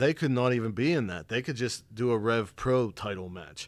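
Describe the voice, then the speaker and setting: In a very clean recording with a silent background, a man speaks at a moderate pace and medium pitch. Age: 30s. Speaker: wrestling podcast host. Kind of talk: casual chat. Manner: animated.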